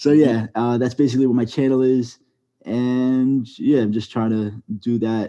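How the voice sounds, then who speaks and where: A man speaks in a monotone, flat intonation with a dark, mellow tone. The background is quiet. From New York. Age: 20s. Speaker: storytime animator YouTuber. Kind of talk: podcast interview.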